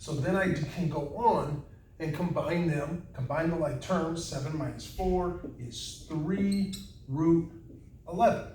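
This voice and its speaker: Against audible room echo, a man speaks very slowly in a high pitch with fairly even intonation. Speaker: math teacher. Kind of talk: lecture.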